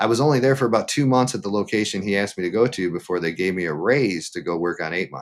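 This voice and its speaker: A man speaks very fast with lively intonation and a Midwestern American accent. His pitch is fairly low, and the recording is very clean with a silent background. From Michigan. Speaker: livestreamer and former meat cutter. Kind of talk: interview answer. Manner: casual, conversational.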